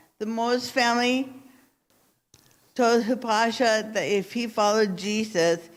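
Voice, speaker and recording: The speaker is a woman with a fairly high pitch. She goes at a fairly slow pace, and room echo is audible. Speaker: missions speaker at church. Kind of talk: storytelling talk to congregation. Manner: halting, with self-corrections.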